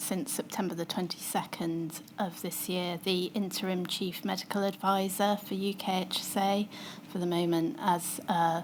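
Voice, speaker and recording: The voice is soft-spoken and moves at a fairly slow pace. Its intonation stays fairly even. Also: woman. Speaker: public health doctor giving evidence. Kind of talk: witness testimony.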